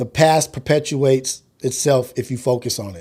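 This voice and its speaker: Somewhat breathy, this man's voice rests at a medium pitch. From US inner city. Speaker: livestream podcast host. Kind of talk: casual livestream monologue. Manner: halting, repeats words.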